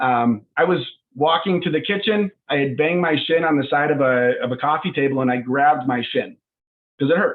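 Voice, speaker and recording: A man with an American accent and an ordinary speaking voice talks at a fairly high pitch and a fairly quick pace, with ordinary pitch variation and very even loudness. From US, Northern Colorado. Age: 20s. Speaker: startup CEO. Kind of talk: video call presentation.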